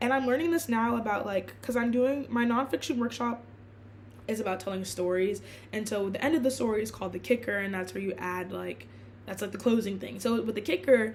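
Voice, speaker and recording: With a fairly high pitch, a woman talks at a fairly quick pace. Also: ordinary pitch variation. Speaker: blogger and student. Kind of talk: casual vlog monologue. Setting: filming in her room. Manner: fast; halting, many fillers and restarts.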